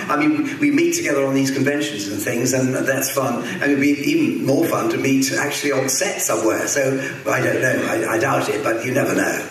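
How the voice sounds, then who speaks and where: A man talks at a fairly quick pace with hardly any pauses. The room echo is audible, with light background noise. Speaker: actor. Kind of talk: interview on stage. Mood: relaxed, amused. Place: hall.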